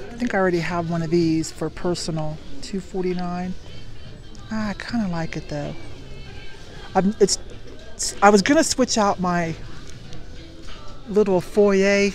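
A woman speaks at a fairly slow pace with long, frequent pauses and ordinary pitch variation, in a dry sound with no echo and faint music in the background. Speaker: thrift reseller vlogger. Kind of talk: casual vlog chat. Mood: cheerful, laughing. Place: shop. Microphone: phone near.

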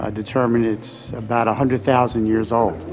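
A man at a fairly quick pace with ordinary pitch variation, clear music in the background. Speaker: travel vlogger. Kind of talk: casual vlog chat. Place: hall. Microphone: phone near.

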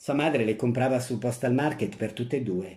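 Playful and theatrical, a man speaks at a moderate pace with a medium pitch and a dark, mellow tone that is somewhat breathy. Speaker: actor reading a short story aloud. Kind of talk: dramatic narration, story read aloud with character voices. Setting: audio recording of a story reading. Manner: expressive, theatrical, shifting between narrator and the grandmother's old-woman voice; comic timing, playful and mischievous in the humorous lines.

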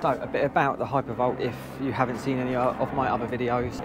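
Fairly quick man's speech, dry with no echo, over noticeable background noise. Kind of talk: casual vlog chat. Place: street. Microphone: lapel.

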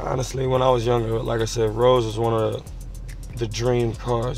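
A man at a fairly quick pace, faint music in the background, the sound dry with no echo. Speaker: vlog host. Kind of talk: casual vlog chat. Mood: relaxed, playful. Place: car.

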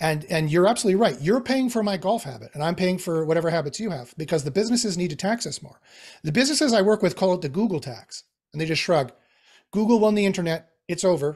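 Against a quiet background, a man talks at a very fast pace in a high pitch with lively intonation. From Canadian Prairies (Winnipeg). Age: 40s. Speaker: AI expert. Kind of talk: interview. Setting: video call. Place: home room. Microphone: video call.

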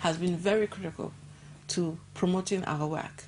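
Against light background noise, a woman speaks somewhat breathily at a medium pitch with ordinary pitch variation. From Nigeria. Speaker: NGO director and gender activist; guest. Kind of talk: TV interview. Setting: TV studio. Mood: thoughtful, earnest. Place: studio. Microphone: lapel.

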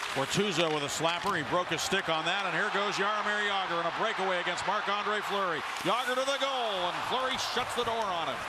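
Fairly quick speech with hardly any pauses, very even loudness and ordinary pitch variation, over noticeable background noise. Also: man, high pitch for a man. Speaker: play-by-play announcer. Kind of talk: live commentary. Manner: rapid-fire, building excitement on goals.

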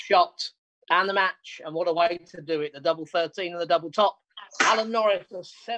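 The speaker is a man at a moderate pace. The background is quiet. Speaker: darts commentator. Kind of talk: live darts commentary. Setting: remote darts league, commentary over match footage. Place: home room.

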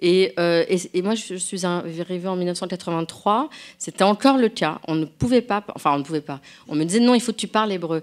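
With lively intonation, she keeps to a moderate pace. The woman has a normal speaking voice, pitched in the medium range. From France. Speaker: novelist and translator. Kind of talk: public conversation. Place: hall.

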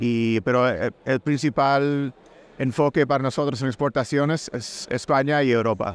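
The man's fairly slow, fairly evenly intoned speech has a dry sound with no echo. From Puerto Rico. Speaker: food company executive. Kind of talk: interview. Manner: halting, with many fillers. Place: booth. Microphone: studio mic.

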